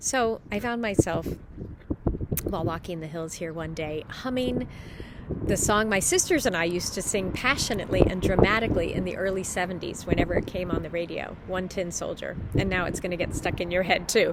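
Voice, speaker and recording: Over noticeable background noise, a woman talks at a fairly quick pace with an American accent. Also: medium pitch for a woman, ordinary pitch variation. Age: 50s. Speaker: parishioner giving a scripture reflection. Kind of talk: spiritual reflection. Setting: outdoors.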